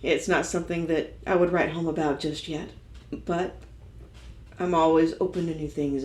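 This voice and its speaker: A woman with a Texan accent speaks at a fairly low pitch. There is audible room echo. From Texas, Dallas. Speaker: singer-songwriter. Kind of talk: interview monologue.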